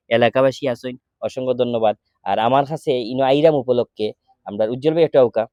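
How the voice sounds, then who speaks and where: His intonation stays fairly even. The man's voice sits at a medium pitch. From Sylhet, Bangladesh. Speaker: charity appeal video maker. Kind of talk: charity appeal.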